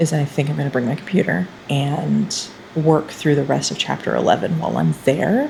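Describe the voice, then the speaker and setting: A woman talks at a very fast pace. Noticeable background noise runs underneath. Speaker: writing vlogger. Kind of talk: vlog diary.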